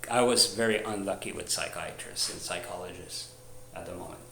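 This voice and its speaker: Monotone, flat intonation from a man with a fairly low pitch, along with audible room echo and noticeable background noise. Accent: Quebec. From Canada, French Canadian. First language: French. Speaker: video blogger. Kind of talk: personal testimony. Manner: halting, many restarts and fillers.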